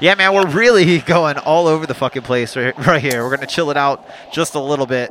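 A man speaks at a fairly quick pace in a fairly high pitch, his tone enthusiastic. His pitch varies in an ordinary way, and there is noticeable background noise. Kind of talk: radio dj patter over playing tracks, live-stream show intro. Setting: live stream. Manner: excitable, enthusiastic, track-by-track shout-outs.

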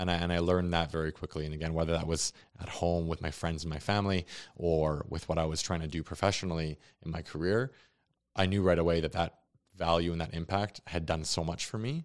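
A man with a Canadian accent speaks at a very fast pace in a very deep, low voice with fairly even intonation, on a very clean recording with a silent background. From Calgary, Canada. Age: 20s. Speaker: soccer goalkeeper. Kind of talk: casual interview. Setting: studio.

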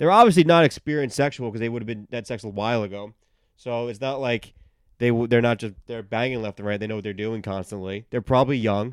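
Speaking very fast in a New York accent, a man with a medium-pitched voice is heard on a very clean recording with a silent background. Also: ordinary pitch variation. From New York City, Queens (Middle Village). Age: 30s. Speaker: comedian. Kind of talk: casual chat. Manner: loud.

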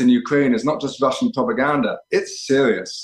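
This is a man with an ordinary speaking voice. His pitch sits fairly high. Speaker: independent journalist. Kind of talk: interview.

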